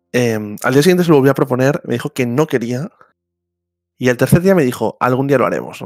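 Recorded with a dry, close sound and no echo, a man speaks at a fairly quick pace and a medium pitch, with ordinary pitch variation. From Catalonia, Spain (Barcelona). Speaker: podcast host. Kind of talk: casual chat. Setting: online voice call.

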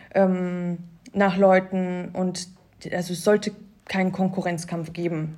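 Very slow, monotone and flat, a woman's medium-pitched voice with a dark, mellow tone and long, frequent pauses. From Cologne area, Germany. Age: 20s. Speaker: Instagram influencer. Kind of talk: casual interview. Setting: office studio.

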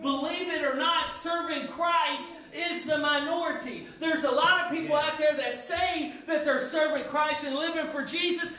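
A raised, projected voice with a bright, sharp tone, flat monotone intonation, moderate pace and audible room echo. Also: man. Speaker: youth pastor. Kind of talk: sermon. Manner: halting.

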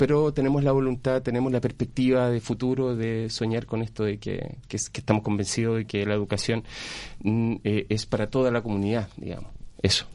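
A man talks at a fairly quick pace and medium pitch, in a plain, everyday voice. His intonation stays fairly even. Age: 40s. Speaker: school culture coordinator. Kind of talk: radio interview. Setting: radio studio.

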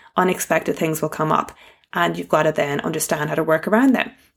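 A woman speaks with vocal fry and lively intonation on a very clean recording with a silent background. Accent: Irish. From Ireland. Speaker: fitness coach podcast host.

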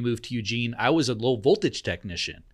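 At a medium pitch with ordinary pitch variation, a man with an American accent speaks at a fairly quick pace in an ordinary speaking voice, recorded very cleanly with a silent background. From southern Oregon, US. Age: 40s. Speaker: coffee business owner. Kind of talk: casual chat. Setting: studio.

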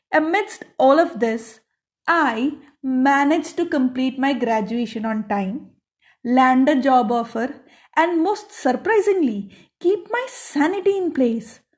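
Very slowly, a woman speaks at a high pitch with very wide pitch swings. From South India. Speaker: podcaster. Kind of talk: personal storytelling monologue.

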